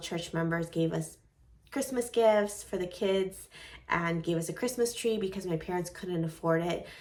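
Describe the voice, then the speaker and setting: A woman with a slight Venezuelan accent speaks fairly slowly at a fairly low pitch. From United States, raised from age six after leaving Venezuela. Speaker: vlogger. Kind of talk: personal vlog monologue.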